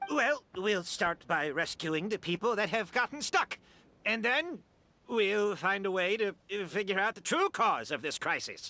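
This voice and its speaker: The voice is a put-on character with a fairly high pitch. It moves at a moderate pace. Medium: video game. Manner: brusque, agitated.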